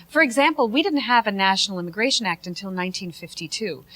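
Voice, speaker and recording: A woman with an American accent and lively intonation over noticeable background noise. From United States. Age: 30s. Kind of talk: talk show discussion.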